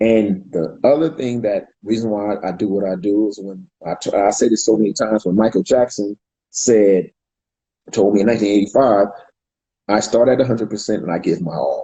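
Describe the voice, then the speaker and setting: This man has an ordinary speaking voice, a fairly low pitch and an American accent. He talks at a moderate pace with fairly even intonation. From US West Coast, California. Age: 50s. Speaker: street dance pioneer. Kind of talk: interview.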